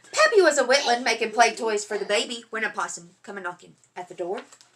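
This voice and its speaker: Lively intonation in an Appalachian accent. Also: woman. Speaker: parent reading to kids. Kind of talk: reading aloud. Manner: animated.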